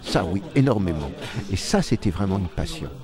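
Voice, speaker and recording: A man's pitch swings very widely as he speaks at a moderate pace, with noticeable background noise behind him. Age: 60s. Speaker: stage actor. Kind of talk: interview. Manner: halting.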